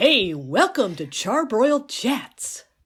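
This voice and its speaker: A put-on character voice, female-sounding and high in pitch, is raised and projected. It moves at a very slow pace with very wide pitch swings. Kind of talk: polished broadcast voice.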